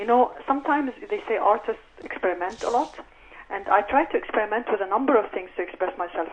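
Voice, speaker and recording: The speaker has an Arabic accent and a fairly quick pace. The pitch variation is ordinary. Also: woman. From Egypt. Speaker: novelist and professor. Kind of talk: radio interview. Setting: radio studio.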